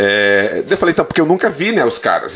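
Lively intonation marks this man's very fast delivery. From Santa Catarina, Brazil (western, gaúcho family). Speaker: Portuguese teacher. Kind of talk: casual interview chat.

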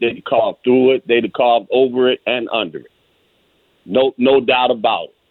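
Here is a man with an ordinary speaking voice. He talks at a moderate pace and medium pitch. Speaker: caller. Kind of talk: call-in opinion. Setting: phone call.

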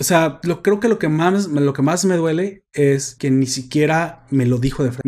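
This voice has a Mexican accent. Its pitch varies in an ordinary way. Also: man. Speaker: podcast host. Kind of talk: casual chat; announcement. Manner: animated.

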